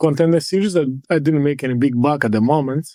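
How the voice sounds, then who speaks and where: In a Portuguese accent, a man talks at a moderate pace in a fairly high voice with ordinary pitch variation, the sound dry and close with no echo. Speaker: mixed martial arts fighter. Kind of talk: interview testimony.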